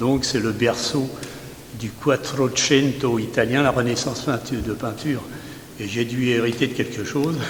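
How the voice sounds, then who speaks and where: A man with a medium-pitched voice speaks at a fairly slow pace against noticeable background noise. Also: fairly even intonation. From Paris region, France (Seine-Saint-Denis and Seine-et-Marne). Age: 80s+. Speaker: amateur painter. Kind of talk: casual interview.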